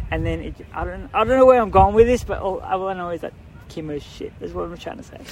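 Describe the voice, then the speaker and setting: A man talking at a very fast pace, big swings in loudness, noticeable background noise. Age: 20s. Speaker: brain tumour patient and volunteer first aider. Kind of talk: casual interview. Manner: halting, many fillers and restarts.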